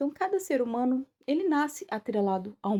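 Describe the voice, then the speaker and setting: With a dark, mellow tone, a woman speaks at a moderate pace in a dry, close sound with no echo. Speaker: occult teacher and podcaster. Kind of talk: casual monologue.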